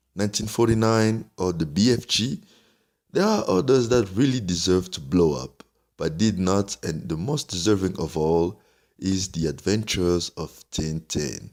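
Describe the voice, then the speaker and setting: With a French accent, a man speaks at a very deep, low pitch and with lively intonation. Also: moderate pace, very clean recording, silent background. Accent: French accent, noticeable. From French-speaking country outside France. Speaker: film critic youtuber. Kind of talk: film review commentary.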